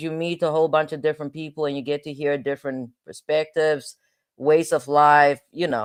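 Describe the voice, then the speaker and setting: Against a quiet background, a woman talks at a fairly quick pace in an animated tone. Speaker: legal commentary livestreamer, former prosecutor. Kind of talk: casual livestream chat. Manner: animated, repetitive.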